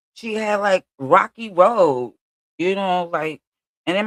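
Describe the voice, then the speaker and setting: In a Brooklyn accent, a woman speaks in an animated tone at a moderate pace with ordinary pitch variation. The sound is dry and close, without echo. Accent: New York (Brooklyn). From Brooklyn, New York. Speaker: streamer. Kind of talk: casual livestream monologue.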